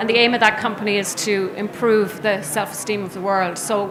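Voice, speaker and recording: Her voice is medium in pitch, with an Irish accent and fairly even intonation. The woman is heard with audible room echo and noticeable background noise. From Ireland. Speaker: business executive, conference speaker. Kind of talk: conference presentation. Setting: trade show stage with audience.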